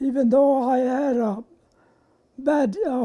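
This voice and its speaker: A man with an American accent speaks at an extremely high pitch with ordinary pitch variation. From southern Colorado and Fort Lupton, Colorado. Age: 90s. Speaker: war veteran. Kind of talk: oral history interview. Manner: halting.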